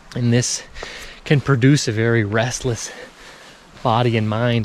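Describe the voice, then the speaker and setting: A man at a moderate pace in a monotone, flat intonation, with noticeable background noise. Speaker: spiritual self-development vlogger. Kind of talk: casual vlog monologue while walking. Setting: outdoors in foggy nature.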